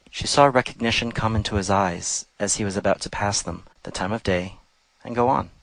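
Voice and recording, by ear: Here the text is read aloud, delivered in a natural voice.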